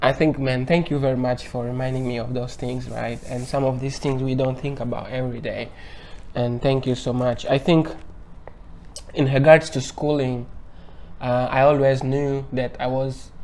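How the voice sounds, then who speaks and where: Speech in a Portuguese accent comes at a moderate pace with monotone, flat intonation. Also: man, medium pitch for a man. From Angola. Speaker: university researcher. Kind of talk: interview.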